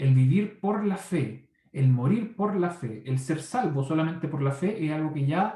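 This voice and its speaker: A man speaks with a somewhat breathy, dark and mellow tone and ordinary pitch variation. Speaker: Bible teacher. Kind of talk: Bible study lecture. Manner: fast.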